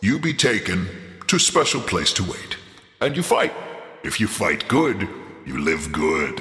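In a put-on character voice, a man speaks at a medium pitch with a slight echo. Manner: gleeful, theatrical, villainous, broken speech.

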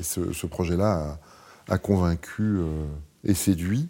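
On a very clean recording with a silent background, a man speaks at a fairly slow pace in a calm tone that is dark and mellow, with ordinary pitch variation. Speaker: architect. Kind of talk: casual chat. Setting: studio.

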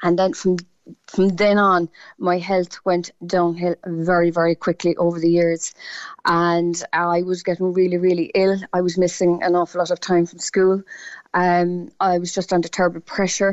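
At a moderate pace, a woman in a Cork accent speaks at a fairly low pitch with a monotone, flat intonation. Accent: Cork Irish. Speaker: patient sharing illness experience. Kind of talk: radio phone-in testimony. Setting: phone call.

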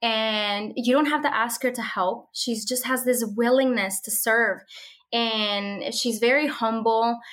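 The recording is very clean with a silent background. A woman with a fairly high pitch speaks at a fairly slow pace. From Mexico (Monterrey), moved to Minnesota at 12. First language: Spanish. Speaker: social media content creator and homeschooling mother. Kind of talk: interview. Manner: warm and enthusiastic.

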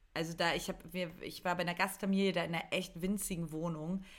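Her voice fairly low, a woman talks at a fairly quick pace with monotone, flat intonation. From eastern Germany. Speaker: comedy writer and podcast co-host. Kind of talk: casual chat.

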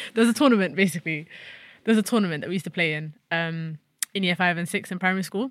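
A woman with a London accent, fairly low in pitch, very fast, with ordinary pitch variation. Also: very clean recording, silent background. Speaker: footballer, national team captain. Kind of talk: casual interview.

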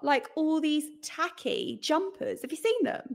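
This woman has an English accent and an extremely high pitch. She speaks at a moderate pace with lively intonation. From England, London area. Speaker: podcast co-host, mum. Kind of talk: casual chat.

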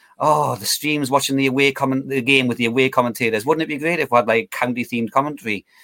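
A man speaks at a medium pitch with a Geordie accent, the sound dry and close with no echo. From northeast England (Newcastle area). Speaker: football fan and amateur commentator. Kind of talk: casual chat. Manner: repetitive, stammering starts.

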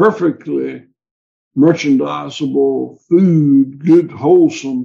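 Slow and fairly even in intonation, a man with a Southern US accent speaks at a fairly high pitch. His tone is dark and mellow, with vocal fry.

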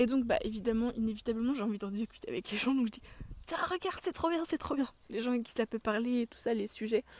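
Very fast and fairly high-pitched, a woman's voice shows ordinary pitch variation and big swings in loudness in a dry, close sound with no echo. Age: 20s. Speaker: podcast host. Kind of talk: casual chat. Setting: outdoors.

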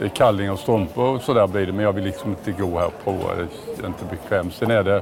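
A man's fairly low voice at a very fast pace with hardly any pauses and fairly even intonation, over background music and audible room echo. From Småland, Sweden. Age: 60s. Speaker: retail company CEO. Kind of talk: casual interview while walking. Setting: walking through a large store.

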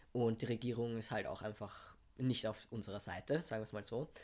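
A normal speaking voice from a man, medium in pitch, at a fairly quick pace, on a very clean recording with a silent background. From Austria, Vienna. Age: 20s. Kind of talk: casual chat.

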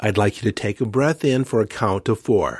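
With a normal speaking voice, a man talks at a fairly low pitch and with lively intonation, recorded very cleanly against a silent background in a dry, close sound with no echo. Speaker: spiritual coach and podcast host. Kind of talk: guided meditation.

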